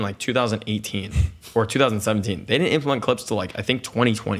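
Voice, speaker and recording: This man's voice sits at a medium pitch. It shows ordinary pitch variation. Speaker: YouTuber and streamer. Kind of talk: podcast interview. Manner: loud.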